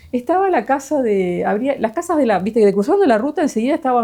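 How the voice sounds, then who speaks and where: Speaking at a fairly quick pace with a Uruguayan accent, a woman uses very wide pitch swings in a dark, mellow tone. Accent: Uruguayan Rioplatense Spanish. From Uruguay, Pando (Canelones). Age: 60s. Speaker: interviewee sharing life memories. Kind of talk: casual interview, life story. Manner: hesitant, many fillers.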